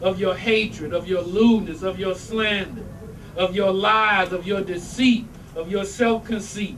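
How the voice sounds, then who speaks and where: A high-pitched male voice amid audible room echo and noticeable background noise. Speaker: religious teacher. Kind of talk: religious talk to congregation. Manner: animated.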